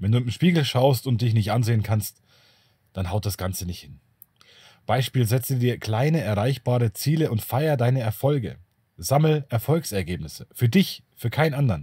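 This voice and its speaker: On a very clean recording with a silent background, a man's somewhat breathy voice carries a dark, mellow tone and lively intonation. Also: medium pitch for a man, moderate pace. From Bavaria. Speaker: YouTuber on narcissism and self-protection. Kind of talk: solo video monologue.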